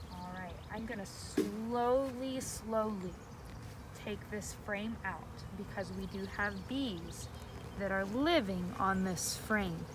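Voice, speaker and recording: A woman's very slow speech with noticeable background noise and audible room echo. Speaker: beekeeper. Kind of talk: tutorial. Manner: loud.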